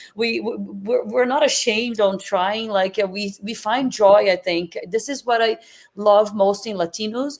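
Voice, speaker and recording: Spoken in a Portuguese accent, the delivery has a fairly slow pace and ordinary pitch variation. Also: woman, fairly high pitch for a woman. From Brazil. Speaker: chef and food entrepreneur. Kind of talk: interview conversation. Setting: live stream.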